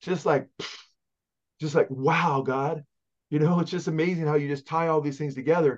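The man's voice is fairly high-pitched, with a Californian accent and a warm, enthusiastic tone. The background is quiet. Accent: Californian American English. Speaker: pastor. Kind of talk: Bible teaching interview. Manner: fast talker. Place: home room. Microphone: video call.

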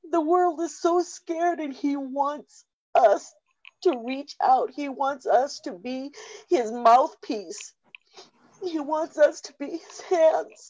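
Against a quiet background, a woman speaks at a high pitch and a very slow pace, with lively intonation and big swings in loudness. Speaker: church member. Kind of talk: prophetic exhortation. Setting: video call. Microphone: video call.

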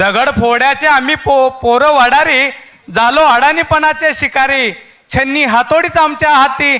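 A man with an extremely high pitch uses a raised, projected voice and ordinary pitch variation. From Solapur, Maharashtra. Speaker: poet. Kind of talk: poetry reading. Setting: live event stage. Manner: repeating each line.

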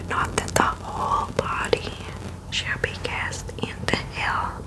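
A woman whispers at a very slow pace against noticeable background noise. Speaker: bible reader. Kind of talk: soft spoken bible reading and reflection. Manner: close-mic ASMR whisper reading scripture. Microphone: studio mic.

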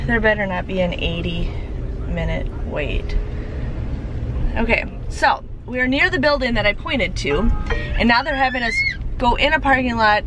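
A woman at a moderate pace, dry sound with no echo, noticeable background noise. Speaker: vlogger. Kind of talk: casual vlog chat. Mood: frustrated, exasperated. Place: car. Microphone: phone near.

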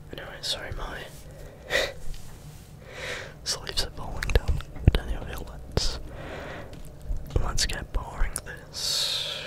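A soft-spoken man whispers at a very slow pace with long, frequent pauses. Loud background noise fills the recording. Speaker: ASMR creator. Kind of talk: soft ASMR chat. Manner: soft close-mic ASMR whisper. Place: home room. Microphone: studio mic.

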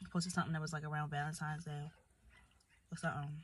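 Her fairly low, somewhat breathy voice stays monotone and flat, in a dry sound with no echo. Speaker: vlogger. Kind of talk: casual vlog chat. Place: car. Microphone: phone near.

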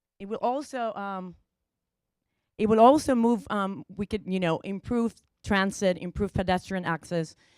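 The recording is very clean, with a silent background and a dry, close sound with no echo. A woman at medium pitch speaks at a moderate pace, her pitch varying in an ordinary way and her loudness swinging widely. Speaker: transit program manager. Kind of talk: presentation to city council.

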